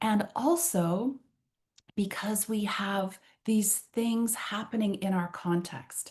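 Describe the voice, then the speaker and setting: With a Canadian accent, a woman speaks in an animated tone at a medium pitch. Her voice is somewhat breathy, with ordinary pitch variation. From Canada. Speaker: trainer and workshop facilitator. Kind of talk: online workshop roundtable.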